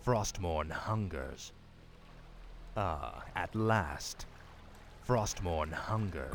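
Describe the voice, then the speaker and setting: A man puts on a character voice at a fairly low pitch, with lively intonation and long, frequent pauses. His pace is very slow, with clear background noise behind him. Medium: video game. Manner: cold, commanding.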